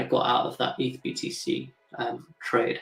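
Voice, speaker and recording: A man speaks with music playing in the background. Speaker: crypto trader streamer. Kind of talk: live trading stream commentary. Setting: live stream. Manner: fast.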